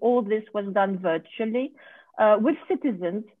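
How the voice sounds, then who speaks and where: A woman with a French accent at a moderate pace, quiet background. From France. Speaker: research board vice chair; presenter. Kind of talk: conference presentation. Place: home room. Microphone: video call.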